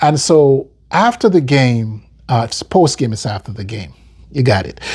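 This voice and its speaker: The voice, with an American accent, is somewhat breathy and fairly slow, with lively intonation and big swings in loudness. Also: man, medium pitch for a man. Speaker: football fan commentator. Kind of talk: casual video commentary. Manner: halting, frequent repetitions and fillers.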